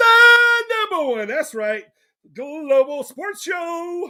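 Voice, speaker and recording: A put-on character voice is pitched high and delivered raised and projected at a very slow pace. Its pitch swings very widely. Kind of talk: radio announcer delivery.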